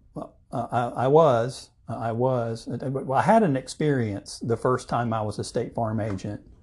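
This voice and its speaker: Somewhat breathy, a man with a medium pitch talks at a moderate pace with ordinary pitch variation and hardly any pauses. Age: 50s. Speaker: insurance agent and chamber board chairman. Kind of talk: casual interview.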